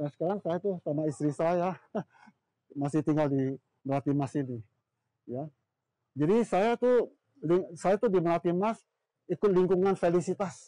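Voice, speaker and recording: Speaking at a moderate pace with long, frequent pauses, a man with a high pitch and a dark, mellow tone uses ordinary pitch variation in a dry, close sound with no echo. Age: 70s. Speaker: small shop owner. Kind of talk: testimony. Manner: casual, frequent fillers.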